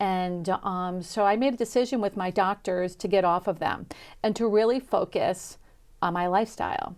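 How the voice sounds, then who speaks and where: On a very clean recording with a silent background, a woman talks at a medium pitch. Her pace is moderate and her pitch varies in an ordinary way. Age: 60s. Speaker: chef and wellness coach. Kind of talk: interview. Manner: halting, many fillers.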